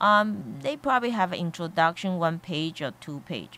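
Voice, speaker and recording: On a very clean recording with a silent background, a woman with a fairly low pitch speaks with ordinary pitch variation. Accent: non-native. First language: Chinese. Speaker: college board of trustees member. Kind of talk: radio interview. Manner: halting, many fillers.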